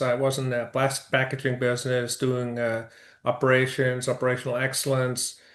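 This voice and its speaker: A man speaks at a fairly quick pace with a Dutch accent. His pitch sits in the medium range. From Netherlands. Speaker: construction business owner. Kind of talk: interview. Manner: hesitant, many fillers.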